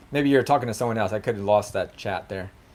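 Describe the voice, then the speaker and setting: A man's medium-pitched voice carries lively intonation. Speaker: RC hobby livestreamer. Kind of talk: live stream chat with viewers. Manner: sometimes stumbles over words.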